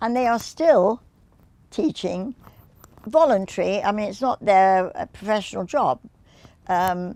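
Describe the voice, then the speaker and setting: Long, frequent pauses break up speech with lively intonation and a dark, mellow tone. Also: woman, medium pitch for a woman. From England. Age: 80s+. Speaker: dance teacher. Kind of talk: oral history interview answer. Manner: graceful, energetic.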